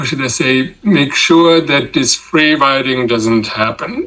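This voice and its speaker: Speaking very slowly with a German accent, a man uses ordinary pitch variation. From Germany. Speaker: political science professor. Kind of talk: interview.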